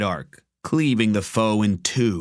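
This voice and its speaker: In a very clean recording with a silent background, a man talks in an ordinary speaking voice at a fairly low pitch with ordinary pitch variation. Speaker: voice actor and narrator. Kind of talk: audiobook narration.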